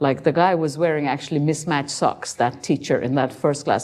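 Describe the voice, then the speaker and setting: A woman with a very deep, low pitch and a dark, mellow tone speaks with ordinary pitch variation against a quiet background. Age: 70s. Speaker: meditation teacher. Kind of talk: talk with Q&A.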